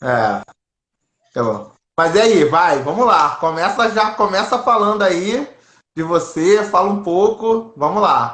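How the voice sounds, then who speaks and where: A man's high-pitched voice, lively in intonation, at a very slow pace. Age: 30s. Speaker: interviewer. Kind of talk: casual interview.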